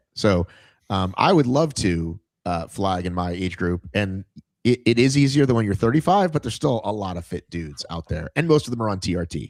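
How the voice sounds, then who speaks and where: A man with an ordinary speaking voice talks at a fairly quick pace with a fairly low pitch and lively intonation, in a dry, close sound with no echo and a very clean recording over a silent background. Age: 50s. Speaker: fitness podcast host. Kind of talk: casual interview chat.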